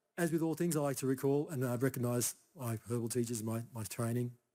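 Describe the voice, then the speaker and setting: This man has a dark, mellow tone. He speaks with an Australian accent. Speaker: Chinese herbal medicine practitioner. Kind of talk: conference talk. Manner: soft-spoken; casual, halting.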